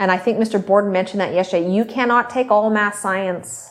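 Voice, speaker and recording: A woman's medium pitch and an ordinary speaking voice, fairly even intonation over a quiet background. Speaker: high school teacher. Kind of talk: classroom instruction.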